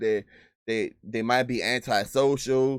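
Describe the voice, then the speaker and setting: A man with a Southern US accent talks in an animated tone at a medium pitch. The recording is very clean, with a silent background. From US South. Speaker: sales trainer and YouTuber. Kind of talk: live stream Q&A. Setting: live stream. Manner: fast.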